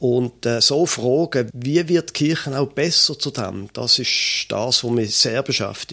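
Speaking at a very slow pace, a man has a bright, sharp tone and ordinary pitch variation. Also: medium pitch for a man. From Switzerland, Basel. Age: 50s. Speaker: pastor and podcast co-host. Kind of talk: casual conversation.

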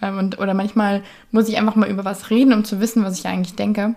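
Dark, mellow tone in a woman's somewhat breathy voice. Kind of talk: casual monologue. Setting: home bedroom. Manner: chatty, many fillers.

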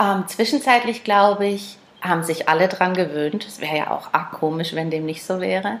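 A woman's medium-pitched voice at a moderate pace, with ordinary pitch variation, big swings in loudness and noticeable background noise. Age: 30s. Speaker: classic car dealer. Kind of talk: casual interview chat.

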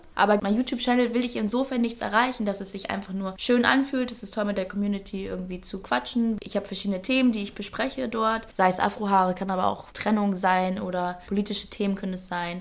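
At a very fast pace with hardly any pauses, a woman talks with ordinary pitch variation. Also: medium pitch for a woman. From northern Germany, Schleswig-Holstein. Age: 20s. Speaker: presenter and influencer. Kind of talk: interview. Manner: talkative.

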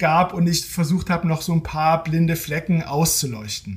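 Here is a man with a high pitch. He talks at a moderate pace. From eastern Germany (Halle, Saxony-Anhalt). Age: 40s. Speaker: technology journalist and author. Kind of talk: interview.

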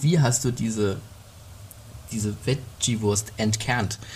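This man's somewhat breathy voice moves through ordinary pitch variation. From Middle Franconia, Germany. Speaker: podcast co-host. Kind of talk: casual chat.

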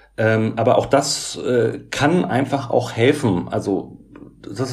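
Over audible room echo, a somewhat breathy man speaks at a medium pitch with ordinary pitch variation. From Germany, Göttingen (Lower Saxony). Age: 40s. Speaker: social worker and author with OCD. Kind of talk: interview about personal experience.

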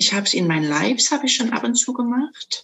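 A woman's ordinary speaking voice, fairly quick and lively in intonation. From Saxony, Dresden (eastern Germany). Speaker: sound bowl coach. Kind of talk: interview.

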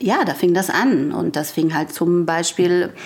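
Noticeable background noise accompanies a woman speaking at a moderate pace. Her pitch is fairly low and her intonation fairly even. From Frankfurt am Main. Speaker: author and columnist. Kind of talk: casual chat. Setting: remote call from her home.

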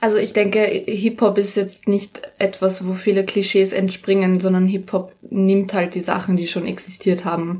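Dark and mellow, a woman's voice sounds somewhat breathy. Her intonation stays monotone and flat. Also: medium pitch for a woman, moderate pace. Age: young. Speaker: rapper and pole dancer. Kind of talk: interview. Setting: in her flat, home studio.

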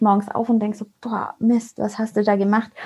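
Very fast and monotone, a woman with a fairly high pitch speaks in a dark, mellow tone with flat intonation. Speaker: network marketer, mother. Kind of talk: casual interview. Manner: hesitant fillers.

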